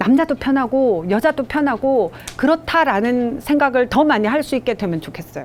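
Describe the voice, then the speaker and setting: Noticeable background noise sits under the speech. The intonation is lively. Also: woman. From South Korea, Gyeongbuk (Daegu). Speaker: lecturer. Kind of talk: lecture with picture-book read-aloud. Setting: public library lecture.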